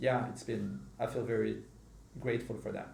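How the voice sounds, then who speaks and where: Audible room echo hangs on this recording. The speaker is a man. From Morocco. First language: not English (English is third language). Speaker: podcast host. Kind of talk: casual chat.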